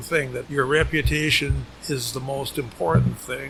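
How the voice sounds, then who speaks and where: Talking at a moderate pace in an American accent, the speaker is heard over noticeable background noise. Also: man. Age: 80s+. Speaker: retired business owner. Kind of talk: casual interview. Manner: halting, repeats words.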